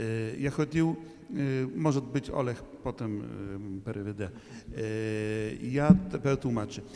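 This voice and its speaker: A man at medium pitch and a fairly slow pace, with ordinary pitch variation and big swings in loudness, amid noticeable background noise and audible room echo. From Poland, Krakow. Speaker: priest, liturgist. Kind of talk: conference Q&A remark. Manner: halting, many hesitations.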